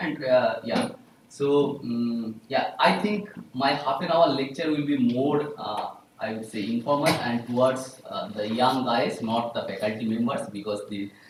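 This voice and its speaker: In a room with audible echo and noticeable background noise, a man at a medium pitch talks at a fairly slow pace with lively intonation. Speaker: statistics professor giving an invited talk. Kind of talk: lecture. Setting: small room, no microphone. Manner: loud; halting. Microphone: speaking without a mic.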